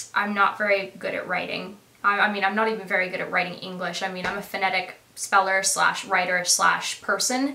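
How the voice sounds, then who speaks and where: Through noticeable background noise and audible room echo, a woman with a Canadian accent speaks in a monotone, flat intonation. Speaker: YouTuber. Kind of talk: casual Q&A vlog.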